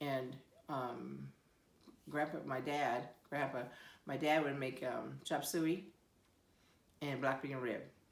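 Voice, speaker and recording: A woman with an American accent and a very deep, low pitch, with vocal fry and fairly even intonation, at a very slow pace with long, frequent pauses. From Siletz, Oregon. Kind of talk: interview answer.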